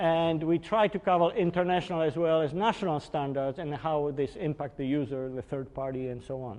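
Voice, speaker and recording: Speaking at a fairly quick pace with hardly any pauses, a man with a Polish accent uses ordinary pitch variation. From Poland. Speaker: engineering executive presenter. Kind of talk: technical webinar lecture. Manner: hesitant with fillers.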